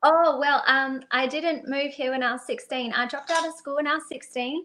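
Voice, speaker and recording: A raised, projected high female voice with an Australian accent, bright, sharp tone, fairly even intonation and fairly quick pace against a quiet background. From Australia, Perth. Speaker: singer-songwriter. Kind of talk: interview. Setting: live stream.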